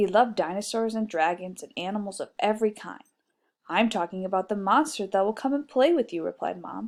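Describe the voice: Against a quiet background, the speaker reads aloud plainly with ordinary pitch variation.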